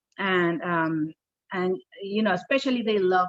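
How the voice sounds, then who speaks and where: A woman's fairly low voice in a Spanish accent at a moderate pace, with ordinary pitch variation and a dry, close sound with no echo. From Peru. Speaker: children's book author. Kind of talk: casual chat.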